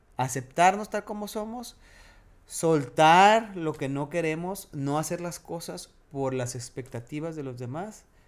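A man talks with a Mexican accent. His pitch is fairly high. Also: lively intonation, very clean recording, silent background. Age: 40s. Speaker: podcast co-host, television presenter. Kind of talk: casual chat.

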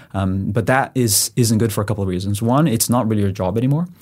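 A man's fairly low, dark, mellow voice with a Portuguese accent, very fast pace and ordinary pitch variation, on a very clean recording with a silent background. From Brazil. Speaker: director of engineering. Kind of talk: interview.

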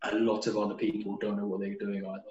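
A man talks in a British accent. His intonation is fairly even. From United Kingdom. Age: 20s. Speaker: postgraduate student. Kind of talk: interview.

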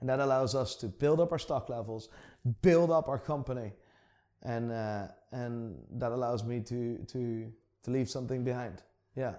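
In a very clean recording with a silent background, a man at medium pitch speaks at a moderate pace with a dark, mellow tone, ordinary pitch variation and long, frequent pauses. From Netherlands, Amsterdam. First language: Dutch. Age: 30s. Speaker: watch dealer and YouTuber. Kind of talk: casual chat. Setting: shop vault.

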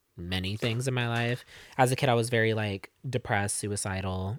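An ordinary speaking voice with an American accent, fairly even intonation and a moderate pace, in a dry, close sound with no echo. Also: man. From Arizona, Casa Grande. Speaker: singer-songwriter. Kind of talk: casual interview chat.

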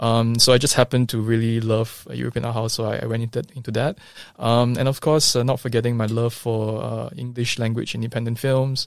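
A man's medium-pitched voice, flat and monotone, at a fairly quick pace. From Singapore. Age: 30s. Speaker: film distributor. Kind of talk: interview. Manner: halting, many repetitions and fillers.

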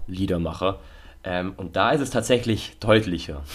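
A man with a plain, everyday voice keeps a fairly slow pace and ordinary pitch variation. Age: 20s. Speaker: podcast co-host. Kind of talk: casual chat.

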